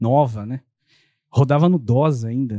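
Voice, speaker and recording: Against a quiet background, a man's dark, mellow voice shows ordinary pitch variation, with a dry, close sound and no echo. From São Paulo state, ABC region. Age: 40s. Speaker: architect and real estate developer. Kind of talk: casual interview.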